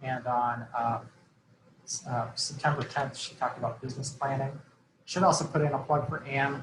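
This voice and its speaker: A man speaks with medium pitch and fairly even intonation. His voice is somewhat breathy. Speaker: program evaluation consultant. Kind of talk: webinar presentation. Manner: fast.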